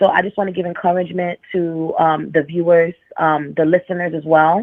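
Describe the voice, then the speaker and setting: A woman with a strong New York accent talks fairly quickly in a fairly low voice with monotone, flat intonation. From New York, the Bronx. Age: 30s. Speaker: caller. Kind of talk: casual chat.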